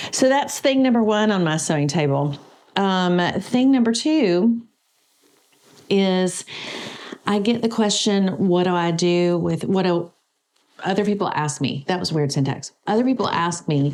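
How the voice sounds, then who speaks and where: Her medium-pitched voice has lively intonation and very even loudness. The woman speaks at a fairly slow pace with long, frequent pauses. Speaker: quilting video creator. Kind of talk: casual vlog talk to camera. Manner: loud, laughs a lot.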